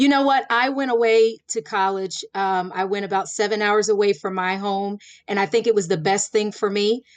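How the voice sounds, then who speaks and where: With an American accent, a woman speaks in an ordinary speaking voice at medium pitch, moderate in pace with hardly any pauses and fairly even intonation, over a quiet background. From Florida. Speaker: lawyer running for judge. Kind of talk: interview.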